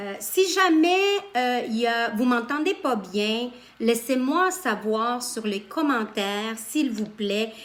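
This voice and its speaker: A high-pitched woman speaks very slowly with lively intonation against noticeable background noise. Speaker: spiritual coach. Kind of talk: live stream talk. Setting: live video stream. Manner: loud; animated.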